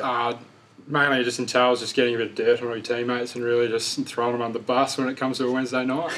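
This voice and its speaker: A man with an Australian accent, medium pitch and monotone, flat intonation at a very fast pace, over noticeable background noise. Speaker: football player. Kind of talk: interview answer. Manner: quiet, laid back.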